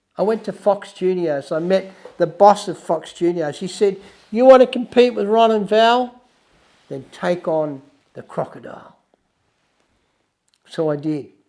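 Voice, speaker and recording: A man with an Australian accent speaks in a dark, mellow tone, pitched high for a man, with ordinary pitch variation and long, frequent pauses. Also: fairly slow pace. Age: 70s. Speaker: wildlife filmmaker and podcast host. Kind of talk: personal storytelling monologue.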